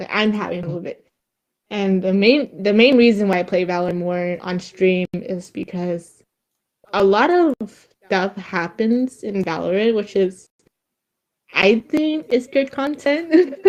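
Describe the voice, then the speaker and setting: Here a woman speaks at a fairly slow pace. Her pitch is medium. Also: lively intonation. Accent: slight Vietnamese. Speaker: streamer. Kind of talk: casual chat. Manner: halting.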